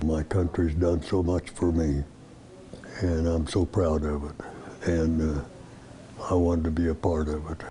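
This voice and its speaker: A man talks at a fairly slow pace in a very deep, low pitch, leaving long, frequent pauses. His intonation stays monotone and flat over noticeable background noise. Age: 90s. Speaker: World War Two veteran and former flight instructor. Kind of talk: interview answer.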